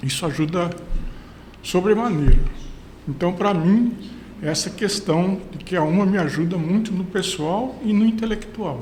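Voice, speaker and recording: Audible room echo surrounds a man speaking at a high pitch with ordinary pitch variation. He goes at a fairly slow pace, with long, frequent pauses. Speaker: senior university student. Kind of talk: podcast interview.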